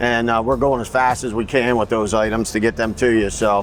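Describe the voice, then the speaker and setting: Speaking fairly quickly in an American accent, a man keeps a monotone, flat intonation over noticeable background noise. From US Northeast (northern New Jersey, upstate New York). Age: 60s. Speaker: firearms company owner. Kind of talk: trade show vlog, product walkthrough. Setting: trade show floor. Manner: casual, filler-heavy.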